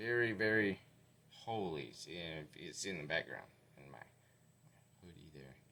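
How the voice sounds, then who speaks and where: Using a very deep, low pitch with vocal fry and a bright, sharp tone, a man speaks at a moderate pace with lively intonation and long, frequent pauses. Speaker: vlogger. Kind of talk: casual video update to viewers. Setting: in his garage. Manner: halting, many fillers.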